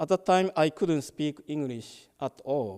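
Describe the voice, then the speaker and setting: Dry and close with no echo, the voice has a dark, mellow tone and lively intonation, speaking very slowly with a Japanese accent. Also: man. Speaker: Buddhist minister. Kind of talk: dharma talk. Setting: temple service, hybrid in-person and online.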